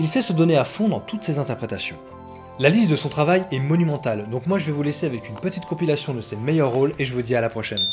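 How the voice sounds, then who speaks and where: Clear music plays in the background as a man talks very fast with lively intonation. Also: fairly high pitch for a man. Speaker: YouTuber on dubbing actors. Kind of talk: documentary narration to camera. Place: home room.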